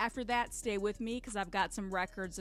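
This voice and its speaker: A woman's medium-pitched voice with ordinary pitch variation, over music in the background. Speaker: radio host. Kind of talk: radio DJ patter introducing tracks. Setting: studio. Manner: upbeat, energetic, quick-paced hype.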